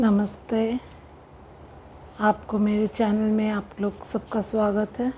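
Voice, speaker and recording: With a dark, mellow tone and a non-native accent, a woman talks in a monotone, flat way, leaving long, frequent pauses. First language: not Hindi (speaking Hindi). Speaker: spiritual coach. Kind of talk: spiritual talk to camera.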